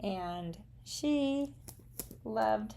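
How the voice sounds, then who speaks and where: A woman with a Southern US accent. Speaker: craft and art demonstrator. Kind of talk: live craft tutorial with chat. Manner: casual, chatty.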